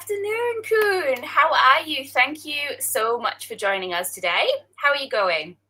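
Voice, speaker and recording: With a Scottish accent, a woman projects a raised, bright, sharp, high-pitched voice at a fairly slow pace, swinging very widely in pitch. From Scotland. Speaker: interviewer, career coach. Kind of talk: live-streamed interview.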